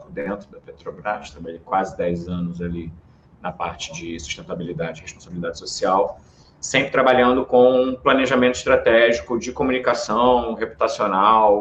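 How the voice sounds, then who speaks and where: With a Rio de Janeiro accent, a man speaks at a moderate pace and medium pitch, his intonation lively and his loudness swinging widely. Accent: carioca. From Brazil, Rio de Janeiro. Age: 30s. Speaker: political marketing strategist. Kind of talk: podcast interview.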